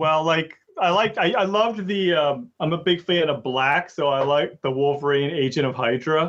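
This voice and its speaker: A man with an ordinary speaking voice, fairly high in pitch, talks at a moderate pace with ordinary pitch variation, very even loudness and hardly any pauses. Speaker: gaming podcaster. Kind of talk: casual podcast interview. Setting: remote computer call. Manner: casual, friendly.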